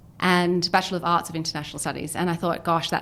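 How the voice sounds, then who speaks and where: A woman speaks with a slight Australian accent. Her fairly low voice keeps a monotone, flat intonation. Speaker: business founder and CEO. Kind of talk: podcast interview.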